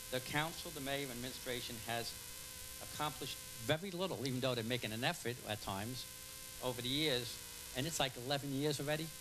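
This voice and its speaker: A man at a very fast pace with long, frequent pauses, medium pitch and ordinary pitch variation, over noticeable background noise. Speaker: public commenter at council meeting. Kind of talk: reading aloud. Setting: public meeting.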